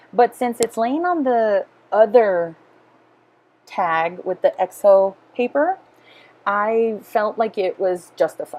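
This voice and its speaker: Leaving long, frequent pauses, a woman speaks very slowly with lively intonation. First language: Spanish. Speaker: scrapbooking craft video creator. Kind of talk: voiceover narration of craft process video. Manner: casual with frequent fillers.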